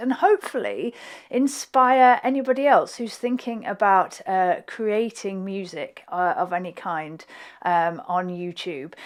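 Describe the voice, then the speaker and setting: Speaking with a Yorkshire accent, a woman moves at a fairly slow pace through very wide pitch swings. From Hull, East Yorkshire, England. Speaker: flute player and YouTuber. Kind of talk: reaction video commentary. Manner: hesitant, many fillers.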